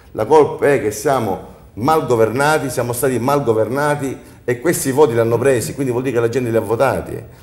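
Fairly quick speech from a man with fairly even intonation. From Sicily. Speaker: entrepreneur; talk show guest. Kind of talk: studio panel discussion. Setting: TV studio. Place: studio. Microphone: lapel.

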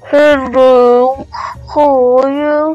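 A put-on character voice speaks at a high pitch. Faint music plays in the background.

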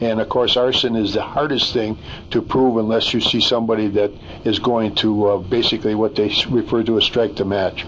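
A man at a fairly quick pace, flat and monotone, with very even loudness and light background noise. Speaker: interviewee. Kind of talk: interview answer. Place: studio.

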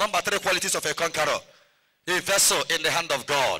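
With a bright, sharp tone, a man speaks over a quiet background. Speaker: priest preacher. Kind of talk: sermon. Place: open country. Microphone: handheld.

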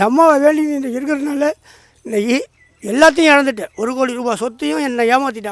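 A man speaks at an extremely high pitch, with ordinary pitch variation. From Tamil Nadu, Madras and Pudukkottai. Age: 60s. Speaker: temple devotee. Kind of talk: testimony.

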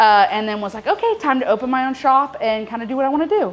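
With normal pitch movement, a woman talks rather quickly. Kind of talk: interview answer. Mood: friendly, upbeat. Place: shop.

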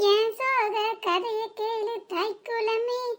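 A woman's put-on character voice, extremely high and fairly bright, slow in pace with fairly even intonation

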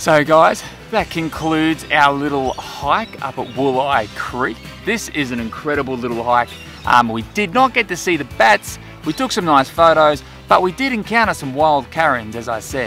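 At a moderate pace, a man speaks in a dry sound with no echo while faint music plays in the background. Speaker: dog vlogger. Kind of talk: casual vlog chat. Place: forest.

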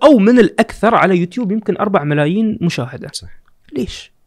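Against a quiet background, a man's high voice moves in very wide pitch swings. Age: young. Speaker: podcaster and marketing executive; podcaster. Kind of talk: casual chat. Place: studio. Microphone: studio mic.

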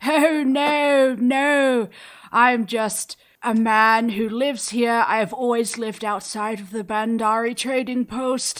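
A woman's put-on character voice, fairly high in pitch, at a fairly slow pace. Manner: cheerful, kindly, laughing; polite, old-fashioned phrasing.

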